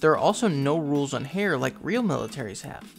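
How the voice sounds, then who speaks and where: Music plays behind a man who speaks at a fairly quick pace in a fairly high pitch. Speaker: anime commentary youtuber. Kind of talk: video essay narration.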